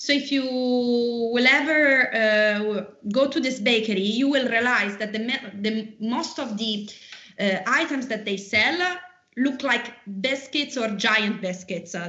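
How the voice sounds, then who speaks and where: In an Italian accent, a woman speaks fairly slowly at a fairly high pitch with ordinary pitch variation. Audible room echo and noticeable background noise surround her voice. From Rome, Italy. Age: 30s. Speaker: tour guide. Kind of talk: interview. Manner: halting, frequent fillers.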